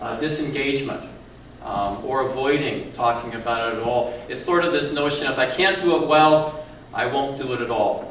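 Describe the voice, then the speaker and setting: Through noticeable background noise and audible room echo, a man speaks at a moderate pace with a fairly high pitch and ordinary pitch variation. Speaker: counselor. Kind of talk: lecture. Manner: soft-spoken.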